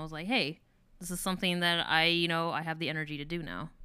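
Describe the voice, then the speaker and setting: Very deep and low in pitch, this woman's voice has a bright, sharp tone and fairly even intonation. She moves at a fairly quick pace on a very clean recording with a silent background. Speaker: podcast guest. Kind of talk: casual chat.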